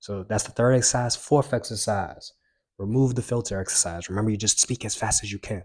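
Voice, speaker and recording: On a very clean recording with a silent background, a man with a fairly low pitch speaks at a moderate pace, somewhat breathy and with fairly even intonation. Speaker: self-help youtuber. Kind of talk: tutorial. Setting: home recording with mic.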